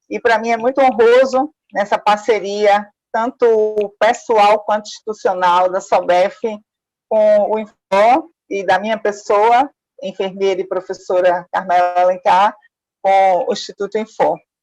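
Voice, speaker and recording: With fairly even intonation, a woman speaks at a medium pitch and a fairly slow pace. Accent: Pernambuco. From Pernambuco, Brazil. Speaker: forensic nurse and professor. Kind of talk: lecture.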